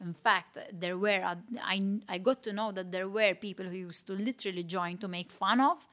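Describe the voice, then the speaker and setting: Speaking at a moderate pace, a woman with a Maltese accent has a medium-pitched voice and fairly even intonation. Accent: Maltese local. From Malta, Mtarfa. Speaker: fitness competitor and trainer. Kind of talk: interview.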